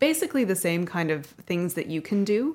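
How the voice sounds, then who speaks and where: On a very clean recording with a silent background, a woman speaks at a moderate pace in an unremarkable speaking voice with ordinary pitch variation. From US and Canada. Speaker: guest, graduate and dancer. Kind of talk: casual interview.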